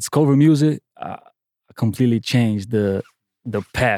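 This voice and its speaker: A man with a Portuguese accent speaks at a medium pitch with ordinary pitch variation, in a dry, close sound with no echo. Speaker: music producer. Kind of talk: casual interview chat. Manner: confident, boastful.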